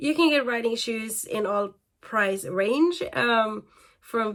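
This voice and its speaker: The pace is fairly slow as a woman talks. It is a very clean recording with a silent background. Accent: non-native. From Norway. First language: Norwegian. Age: 30s. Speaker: equestrian vlogger. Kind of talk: casual talk video. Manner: hesitant, many fillers.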